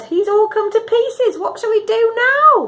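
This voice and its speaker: A put-on character voice, squeaky and extremely high-pitched, at a moderate pace. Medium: read story.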